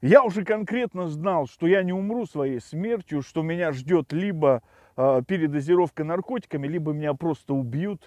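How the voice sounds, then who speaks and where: Speaking at a moderate pace, a man with a high pitch uses lively intonation. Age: 40s. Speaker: tech blogger. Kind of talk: personal testimony. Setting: outdoors by a river.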